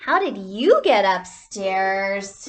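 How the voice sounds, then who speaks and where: Against a quiet background, a woman performs a put-on character voice. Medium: read story.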